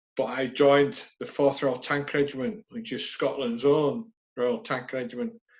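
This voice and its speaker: A man with a Yorkshire accent, at a fairly slow pace, with very wide pitch swings. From northern England, West Yorkshire (Halifax). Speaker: army veteran. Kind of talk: casual interview.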